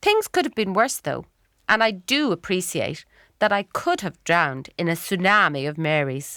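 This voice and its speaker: In a Dublin accent, a woman speaks at a moderate pace with a bright, sharp tone and medium pitch that swings very widely. The recording is very clean and dry, close with no echo, over a silent background. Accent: Irish (Dublin). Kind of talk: memoir narration, dramatic reading. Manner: wry, humorous.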